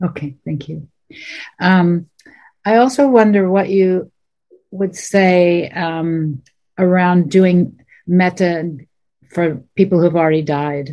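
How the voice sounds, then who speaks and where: Very slowly and with long, frequent pauses, a woman speaks in a fairly low pitch with a dark, mellow tone. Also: ordinary pitch variation. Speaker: end-of-life doula. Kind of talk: Q&A question.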